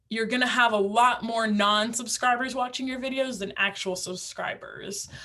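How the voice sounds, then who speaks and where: Amid audible room echo, a woman with a fairly high pitch speaks at a moderate pace with fairly even intonation. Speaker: instructor for realtors on using video. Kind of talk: online class lecture. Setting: virtual class. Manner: casual, many fillers.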